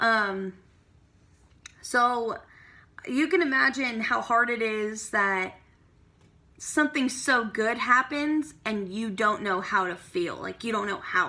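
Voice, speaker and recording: A woman's fairly high, bright, sharp voice at a very slow pace, broken by long, frequent pauses. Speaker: vlogger. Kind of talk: personal vlog monologue. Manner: hesitant, many fillers.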